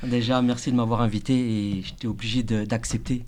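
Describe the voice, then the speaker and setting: Fairly even intonation marks a man's speech, pitched in the medium range. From France, Laotian family. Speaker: chef. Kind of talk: interview, casual chat. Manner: hesitant, shaky voice.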